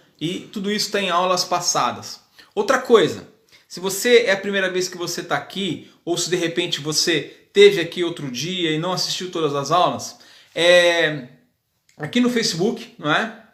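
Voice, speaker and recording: A man talks with a high pitch, ordinary pitch variation and a moderate pace. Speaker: hairdressing teacher. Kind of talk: live class. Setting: live video stream.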